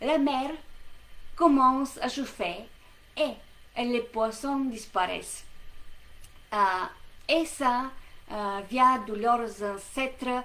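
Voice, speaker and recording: Very slowly and with long, frequent pauses, a woman with an Eastern European accent speaks in a high, bright, sharp tone. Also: ordinary pitch variation. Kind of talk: educational lesson to camera. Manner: hesitant, many fillers.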